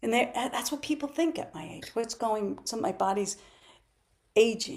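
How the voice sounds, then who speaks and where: Her pitch is fairly high and her intonation lively as this woman speaks at a moderate pace. Her loudness swings widely. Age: 60s. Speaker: physical therapist and natural health practitioner. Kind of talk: interview. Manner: animated.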